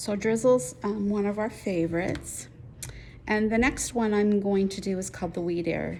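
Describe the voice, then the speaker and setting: A woman's medium-pitched voice with an American accent, moderate pace and ordinary pitch variation, plus audible room echo. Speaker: quilting teacher. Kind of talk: tutorial.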